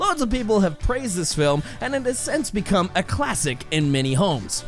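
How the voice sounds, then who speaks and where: The tone is energetic and playful, at a moderate pace. Music can be heard in the background. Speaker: voice actor. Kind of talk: comedic movie review narration. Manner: energetic, playful.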